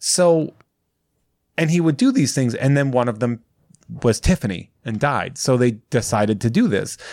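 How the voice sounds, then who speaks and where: A man with a medium pitch and ordinary pitch variation speaks at a moderate pace. He leaves long, frequent pauses in a very clean recording with a silent background. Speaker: podcast guest. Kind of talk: casual chat. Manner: loud.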